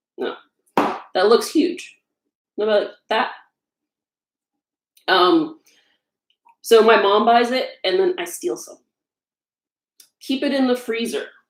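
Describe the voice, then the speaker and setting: Very slow delivery with long, frequent pauses. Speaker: home baker and blogger. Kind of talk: casual cooking livestream. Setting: home kitchen. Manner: loud.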